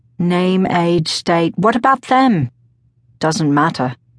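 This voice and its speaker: Speaking at a fairly slow pace, a woman has a fairly low pitch and an ordinary speaking voice. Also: dry, close sound with no echo. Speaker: audiobook narrator. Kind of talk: dramatic audiobook narration, first-person. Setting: studio. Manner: solemn, brooding; intense, slow, measured.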